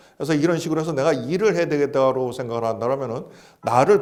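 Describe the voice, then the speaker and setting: With audible room echo behind him, a man talks at a very fast pace, his pitch swinging very widely. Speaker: retirement planning expert. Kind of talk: interview talk, lecture-like advice. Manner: explanatory, structured.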